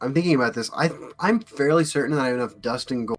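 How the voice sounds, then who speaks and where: A man talks at a fairly quick pace with lively intonation. His is an unremarkable speaking voice. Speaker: podcast co-host and streamer. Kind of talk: casual chat. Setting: live stream with chat.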